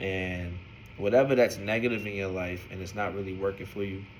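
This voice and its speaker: Speaking with an American accent, a man has a fairly low, somewhat breathy voice and a fairly quick pace. Audible room echo surrounds him. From New York City (Brooklyn, East New York). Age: 30s. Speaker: vlogger giving life advice. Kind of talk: personal vlog monologue. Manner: casual, conversational.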